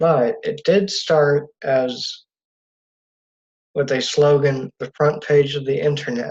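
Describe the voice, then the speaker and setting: The speech comes at a very slow pace with long, frequent pauses. The voice is somewhat breathy, with fairly even intonation. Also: man, fairly high pitch for a man. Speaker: student presenter. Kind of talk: class presentation. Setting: video call.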